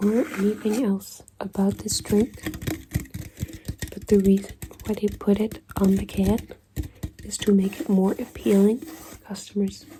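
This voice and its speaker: Someone soft-spoken talks very slowly against noticeable background noise. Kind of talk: ASMR soft-spoken explanation. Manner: soft-spoken, slow, deliberate.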